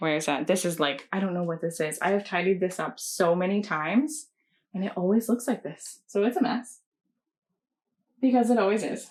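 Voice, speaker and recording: In a Canadian accent, a woman with an unremarkable speaking voice talks at a moderate pace and medium pitch, her intonation lively. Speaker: cross-stitch pattern designer. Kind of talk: casual chat.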